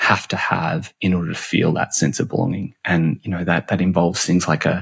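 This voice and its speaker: A man's very deep, low voice in an Australian accent at a moderate pace, with dry, close sound and no echo. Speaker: customer and employee experience expert. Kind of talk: podcast interview. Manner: halting, many repetitions.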